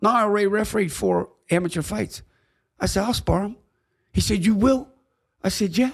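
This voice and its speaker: A high-pitched man with an American accent, at a fairly quick pace with long, frequent pauses, on a very clean recording with a silent background. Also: ordinary pitch variation. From Pittsburgh, Pennsylvania. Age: 70s. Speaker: boxing commissioner and former referee. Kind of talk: storytelling in podcast interview.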